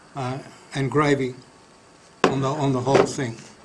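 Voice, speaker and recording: A man with an Australian accent speaks at a fairly high pitch and a fairly quick pace. Background noise is noticeable. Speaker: collector. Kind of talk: show and tell. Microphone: headset.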